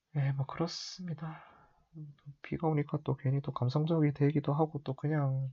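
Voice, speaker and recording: Over a quiet background, a man speaks in a relaxed, somewhat breathy tone at a fairly high pitch. His intonation is monotone and flat. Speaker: amateur football commentary youtuber. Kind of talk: casual monologue. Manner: relaxed, unhurried; hesitant, many fillers.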